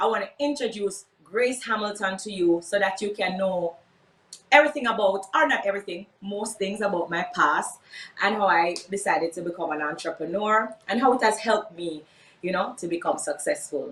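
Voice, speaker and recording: With a Jamaican accent, a woman speaks at a moderate pace and medium pitch with ordinary pitch variation over noticeable background noise. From Jamaica, Portmore. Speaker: entrepreneur, workshop speaker. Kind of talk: workshop talk, personal story.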